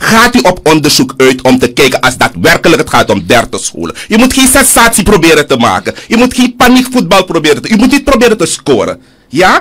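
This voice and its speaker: A man's fairly quick speech with very wide pitch swings over a quiet background. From Suriname. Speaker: politician. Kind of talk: heated debate. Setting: studio. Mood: indignant, combative. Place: studio. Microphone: studio mic.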